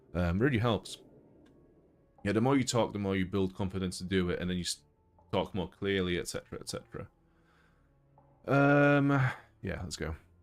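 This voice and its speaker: This man talks at a fairly quick pace with a fairly low pitch and lively intonation. Long, frequent pauses break up his speech, and music plays in the background. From Poland. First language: Polish. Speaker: gaming streamer. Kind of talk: casual chat. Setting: live stream.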